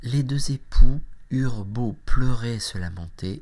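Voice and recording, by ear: Someone reads the words aloud in a natural voice.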